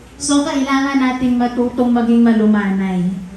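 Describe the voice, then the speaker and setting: With audible room echo and noticeable noise around her, a woman talks at a moderate speed, her pitch varying in an ordinary way. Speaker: pastor. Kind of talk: sermon. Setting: church. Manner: forceful, blunt way of speaking.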